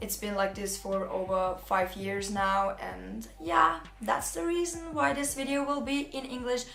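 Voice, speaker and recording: Hardly pausing, a woman of medium pitch talks at a fairly slow pace with lively intonation, amid noticeable background noise and audible room echo. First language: German. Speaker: youtuber. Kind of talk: storytime vlog. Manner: casual, animated.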